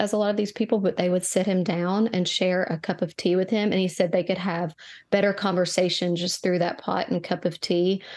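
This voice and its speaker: A woman has a normal speaking voice at a medium pitch with fairly even intonation. She speaks at a fairly quick pace over a quiet background. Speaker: tea shop co-owner and herbalist. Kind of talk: casual interview. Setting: studio.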